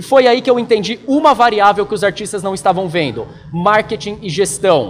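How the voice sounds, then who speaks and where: A man's high-pitched, energetic voice at a fairly quick pace, ordinary pitch variation, noticeable background noise behind it. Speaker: marketing trainer for tattoo artists. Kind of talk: online training lecture. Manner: fast; direct, energetic.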